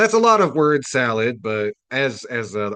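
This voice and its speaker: A man with a Midwestern accent talks at a moderate pace and medium pitch. His pitch swings very widely against a quiet background. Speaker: community radio host. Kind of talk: radio commentary reading article aloud. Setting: radio studio. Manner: casual with frequent fillers.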